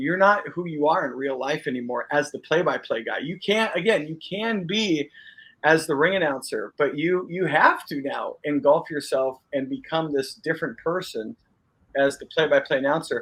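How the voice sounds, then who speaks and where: A man speaks with a high pitch. His pace is moderate and his pitch variation ordinary. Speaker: podcast host and wrestling interviewer. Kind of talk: interview question.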